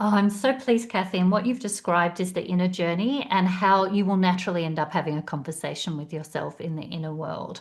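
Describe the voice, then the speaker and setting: With an Australian accent, a woman talks at a very fast pace with hardly any pauses, her medium pitch showing ordinary variation. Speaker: career coach. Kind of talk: webinar presentation.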